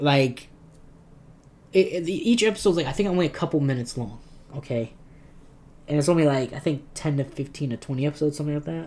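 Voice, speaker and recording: A somewhat breathy man talks at a very fast pace with long, frequent pauses, using a fairly high pitch and ordinary pitch variation. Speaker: gaming and anime YouTuber. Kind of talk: casual commentary video. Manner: animated.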